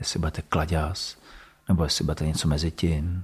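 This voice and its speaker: The intonation is monotone and flat. The voice is somewhat breathy. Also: man. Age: 40s. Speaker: school principal. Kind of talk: interview, personal story. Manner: hesitant, many fillers.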